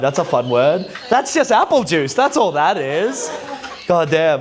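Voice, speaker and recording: Music plays behind a man with an Australian accent and a fairly high pitch. His tone is animated, and his pace is moderate. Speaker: stand-up comedian. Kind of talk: stand-up. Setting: stage with audience.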